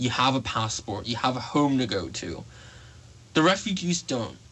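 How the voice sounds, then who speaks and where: This man's voice sits fairly high for a man and carries lively intonation. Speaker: campus radio show host. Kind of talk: radio talk show monologue. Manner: hesitant, with fillers and self-corrections.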